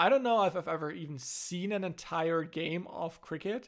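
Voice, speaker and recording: High in pitch, a man speaks at a moderate pace with ordinary pitch variation. The recording is very clean, the background silent. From Germany. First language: German. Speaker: podcast host. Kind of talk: casual conversation. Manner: halting, with fillers.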